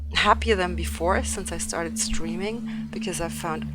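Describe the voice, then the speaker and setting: Noticeable background noise runs through the clip. A woman speaks with audible room echo. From Turkey. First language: not English; fluent in German. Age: 30s. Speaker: streamer and esports organization head. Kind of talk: casual livestream talk while painting. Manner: hesitant with many fillers.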